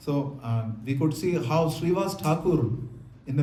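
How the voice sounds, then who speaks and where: Noticeable background noise and audible room echo surround a man speaking with a fairly high pitch. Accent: South Indian. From South India. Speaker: monk lecturer. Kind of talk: lecture with consecutive interpretation. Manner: fast.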